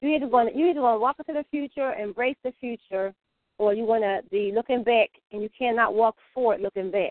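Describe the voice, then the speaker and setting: Here a woman talks at a fairly quick pace in a normal speaking voice. Her pitch is fairly high, with ordinary pitch variation. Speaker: caller. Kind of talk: casual chat. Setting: phone call.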